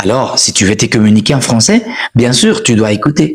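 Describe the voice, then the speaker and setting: The man sounds somewhat breathy and animated. His pitch swings very widely. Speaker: French teacher. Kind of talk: live stream language lesson. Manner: repetitive, animated.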